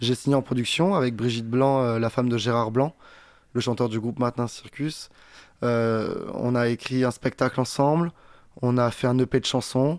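With an ordinary speaking voice, a man keeps a medium pitch, ordinary pitch variation, a moderate pace and very even loudness. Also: quiet background. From southern France. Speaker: comedian and singer. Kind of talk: interview.

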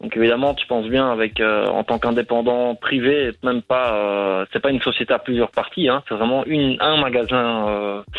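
This man has an unremarkable speaking voice, medium in pitch, moving at a moderate pace with fairly even intonation and hardly any pauses. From Brussels, Belgium. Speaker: caller, bike shop owner. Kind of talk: phone call, explaining. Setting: phone call.

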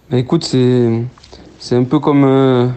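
Noticeable background noise sits under this recording. A man speaks at medium pitch and a moderate pace. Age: 20s. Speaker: professional footballer. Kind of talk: phone interview. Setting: phone call. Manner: halting.

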